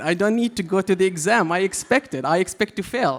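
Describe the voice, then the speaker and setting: A man speaks with an Arabic accent. His intonation is lively. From Syria, Aleppo. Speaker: comedian. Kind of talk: stand-up. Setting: stage with audience.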